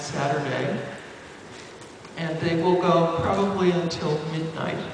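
Delivered at a moderate pace in a flat monotone, the speech carries strong room echo and noticeable background noise. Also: man. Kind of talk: meeting answer to question. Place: hall.

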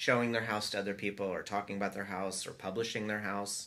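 At a very fast pace, a man talks with a fairly low pitch. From Atlanta, US South; Georgia. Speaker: architecture firm principal; podcast guest. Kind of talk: casual interview chat. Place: office.

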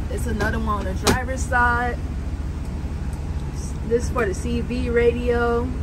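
Someone speaks at a moderate pace against loud background noise. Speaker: truck driver vlogger. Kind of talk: casual vlog tour. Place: car. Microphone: phone near.

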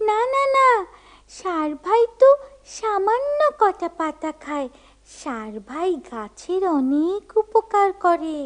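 This cartoonish character voice sits at an extremely high pitch, moving at a fairly slow pace with very wide pitch swings. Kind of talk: children's puppet show. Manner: chirpy, repetitive.

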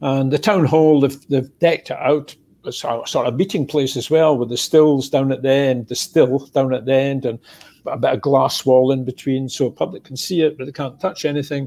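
Here a man with a Scottish accent speaks at a moderate pace and a fairly high pitch. His tone is dark and mellow, his intonation fairly even. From Scotland. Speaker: retired whisky distiller; guest. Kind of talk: casual chat. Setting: video call. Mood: relaxed storytelling. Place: home room. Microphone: earbuds.

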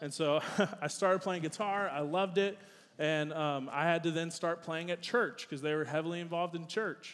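Talking at a fairly quick pace, a man with an American accent uses a high pitch and fairly even intonation. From US South. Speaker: youth pastor. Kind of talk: sermon. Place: church.

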